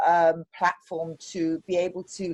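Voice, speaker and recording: A woman is speaking. She has a British accent. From UK. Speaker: pediatrician. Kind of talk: presentation intro. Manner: hesitant with fillers.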